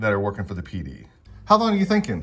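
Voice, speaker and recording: Lively intonation marks this man's speech. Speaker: attorney doing first amendment audits. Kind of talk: confrontational public records request. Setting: government office counter, talking through glass. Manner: loud.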